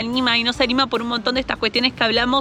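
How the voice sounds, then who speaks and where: Noticeable background noise sits behind the speech. The delivery is very fast with monotone, flat intonation. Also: woman. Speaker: motorcycle travel vlogger. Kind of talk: travel tutorial. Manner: hesitant fillers.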